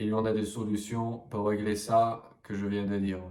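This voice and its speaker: In an English accent, a man speaks slowly-ish at a medium pitch with a dark, mellow tone and monotone, flat intonation, with audible room echo. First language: English (speaking French). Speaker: French language coach. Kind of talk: vlog-style talk to camera. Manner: hesitant with frequent fillers.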